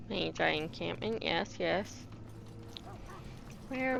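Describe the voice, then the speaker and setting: Mumbling, a woman speaks at a very slow pace. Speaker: game streamer. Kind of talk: let's play commentary. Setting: live stream, no voice chat. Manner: mumbling to self.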